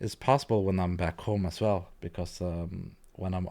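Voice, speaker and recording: This man's pitch is very deep and low. His tone is dark and mellow. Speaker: video editing youtuber. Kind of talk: live-stream tutorial. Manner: hesitant, many fillers; quiet at times. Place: home room. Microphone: studio mic.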